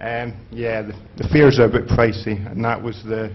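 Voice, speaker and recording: A man with a medium pitch talks amid audible room echo. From Scotland. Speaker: conference speaker. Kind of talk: conference talk. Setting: stage with audience. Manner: halting, many fillers.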